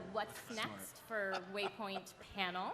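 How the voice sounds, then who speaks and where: Audible room echo follows a woman's voice, which varies in pitch in an ordinary way. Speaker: panel moderator. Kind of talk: convention panel presentation. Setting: stage with audience. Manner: joking, casual.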